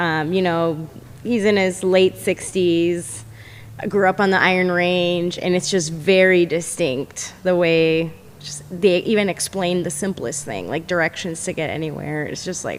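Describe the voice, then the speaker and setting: Speaking with an American accent, a woman with a plain, everyday voice talks at a fairly slow pace and a fairly low pitch. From Minnesota. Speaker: homebuyer, former client. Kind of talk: casual chat. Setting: studio.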